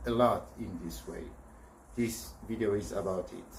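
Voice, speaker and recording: There is audible room echo around this male speaker. He talks at a fairly slow pace. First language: not English. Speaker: video blogger. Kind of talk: personal vlog monologue. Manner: halting.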